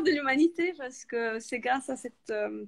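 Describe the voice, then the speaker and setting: Using lively intonation and an Italian accent, a woman speaks at a moderate pace in a dry, close sound with no echo. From Italy. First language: Italian (speaking French). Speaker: author and freelance project manager. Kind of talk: interview. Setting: live video call. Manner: hesitant, many fillers.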